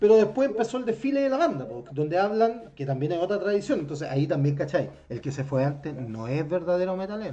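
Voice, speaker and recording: Rushing at a very fast pace with hardly any pauses, a man with a Chilean accent swings his high voice very widely in pitch. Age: 40s. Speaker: podcast host. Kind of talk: casual chat.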